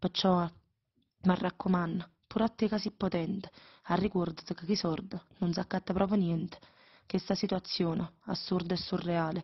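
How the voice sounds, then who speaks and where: Long, frequent pauses break up a woman's somewhat breathy speech at a moderate pace. Her pitch is medium and her intonation fairly even. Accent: Neapolitan. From Naples, Italy.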